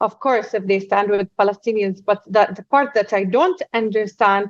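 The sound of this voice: A woman talks at a moderate pace. Her pitch sits at a medium level with ordinary variation.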